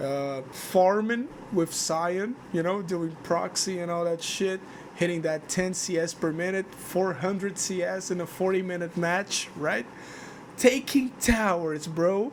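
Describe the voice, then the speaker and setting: Against noticeable background noise, a man with a non-native accent speaks at a high pitch and a fairly slow pace. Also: ordinary pitch variation. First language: not English. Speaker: gaming video creator. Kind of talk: casual monologue vlog. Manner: halting, repeats words. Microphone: cheap microphone, poor noise suppression.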